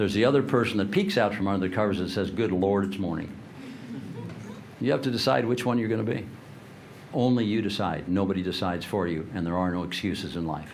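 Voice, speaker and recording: A man's fairly low voice at a very fast pace, with ordinary pitch variation, long and frequent pauses, audible room echo and noticeable background noise. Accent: American. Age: 70s. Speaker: leadership speaker. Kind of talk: motivational talk.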